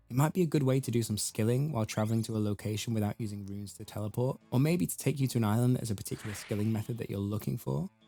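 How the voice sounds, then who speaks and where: Over music in the background, a man speaks very fast with hardly any pauses, using a medium pitch and lively intonation. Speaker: gaming youtuber. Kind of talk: scripted narration.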